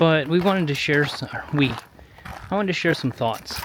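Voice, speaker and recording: Over noticeable background noise, a man with an American accent talks at a fairly high pitch. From US Midwest, Chicago area. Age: 40s. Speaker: vlogger. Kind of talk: casual vlog monologue while walking. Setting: outdoors on a gravel road. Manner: conversational, hesitant with fillers.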